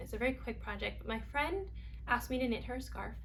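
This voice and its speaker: A woman with an American accent speaks at a very fast pace. Noticeable background noise and audible room echo surround her. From New York. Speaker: knitting vlogger. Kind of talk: casual chat.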